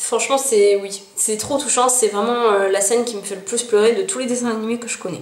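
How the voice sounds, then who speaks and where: Talking at a fairly quick pace with hardly any pauses, a woman with a fairly high pitch keeps her intonation fairly even, with audible room echo and noticeable background noise. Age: 20s. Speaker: YouTuber. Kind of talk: casual vlog.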